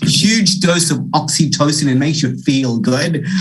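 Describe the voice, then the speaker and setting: In an Australian accent, a man talks at a fairly high pitch with ordinary pitch variation, amid noticeable background noise and audible room echo. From Australia, Wollongong area (Illawarra), born in India. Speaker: keynote speaker, leadership consultant. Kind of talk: keynote address. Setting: video call. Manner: animated.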